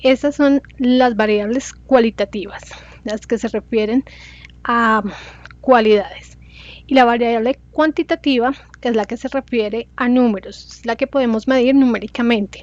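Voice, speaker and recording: The speech moves at a fairly slow pace with fairly even intonation, in a dry, close sound with no echo. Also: woman, high pitch for a woman. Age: 40s. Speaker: student. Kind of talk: class presentation. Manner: halting.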